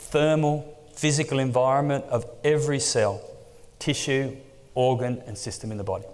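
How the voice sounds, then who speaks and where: A man's fairly high-pitched voice with an Australian accent at a moderate pace, with ordinary pitch variation and audible room echo. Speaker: exercise oncology researcher. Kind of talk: conference lecture.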